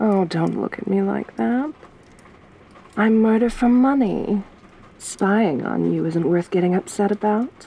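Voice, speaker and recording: Soft-spoken and menacing, a woman talks at a fairly slow pace with long, frequent pauses and ordinary pitch variation in a dry sound with no echo. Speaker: ASMR roleplay performer. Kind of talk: asmr roleplay, intimate whispery-soft in-character monologue. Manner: soft-spoken, slow and teasing, menacing yet flirtatious.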